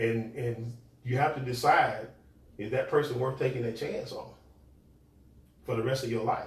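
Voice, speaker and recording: With long, frequent pauses and monotone, flat intonation, a man speaks amid noticeable background noise and audible room echo. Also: medium pitch for a man, moderate pace. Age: 50s. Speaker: podcast co-host. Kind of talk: casual chat. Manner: halting.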